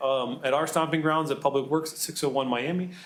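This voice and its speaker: A man talks at a very fast pace. Noticeable background noise and audible room echo are present. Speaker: public works superintendent. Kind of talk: public presentation. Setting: city council meeting.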